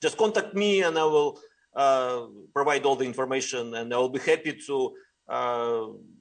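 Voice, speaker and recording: A man with a Russian accent talks at a moderate pace, leaving long, frequent pauses against a quiet background. His pitch is fairly high with ordinary variation. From Russia, Ural Mountains. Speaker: rabbi. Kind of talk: interview. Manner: halting.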